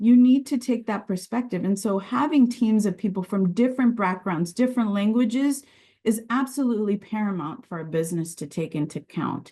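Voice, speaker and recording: A woman's fairly high, somewhat breathy voice has a dark, mellow tone and lively intonation. She moves at a fairly quick pace against a quiet background. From Virginia, US, Sicilian immigrant family. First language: Sicilian. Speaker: regulatory and quality director. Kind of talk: interview.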